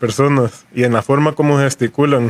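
A man's normal speaking voice, fairly high in pitch and fairly slow, with fairly even intonation and a dry, close sound with no echo. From Costa Rica, San José. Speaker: calypso musician. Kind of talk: radio panel discussion. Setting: studio.

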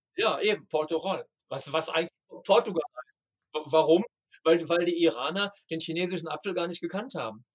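A man's high-pitched voice at a moderate pace, with ordinary pitch variation and a dry, close sound free of echo. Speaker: travel guide author and tour operator. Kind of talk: casual interview. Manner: halting, with repetitions.

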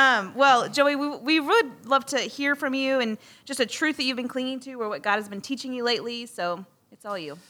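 A woman with a high pitch uses a raised, projected voice in a bright, sharp tone, with big swings in loudness and ordinary pitch variation. She talks at a fairly quick pace in a very clean recording with a silent background. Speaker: podcast co-host. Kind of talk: casual chat. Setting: studio.

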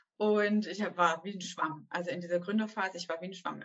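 Words come fairly quickly, delivered with a monotone, flat intonation. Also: woman. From southwestern Germany, Stuttgart area. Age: 30s. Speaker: ballet teacher and entrepreneur. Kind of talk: interview. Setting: video call.

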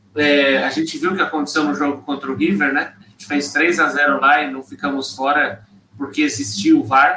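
This man has a normal speaking voice, pitched fairly high. He talks at a moderate pace. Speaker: football podcast panelist. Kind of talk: casual chat. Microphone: too quiet at first.

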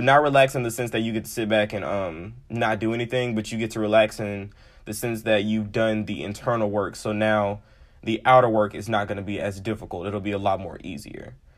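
A man with an American accent speaks in a fairly low voice with fairly even intonation. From Memphis, Tennessee (US South). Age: 20s. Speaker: podcast host, tarot and astrology reader. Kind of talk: casual monologue. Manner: casual, frequent laughter and fillers.

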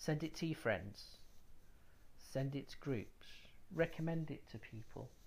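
The speech moves at a fairly slow pace with long, frequent pauses. The intonation is lively, with vocal fry. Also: man. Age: 30s. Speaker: podcast host. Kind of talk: personal testimony.

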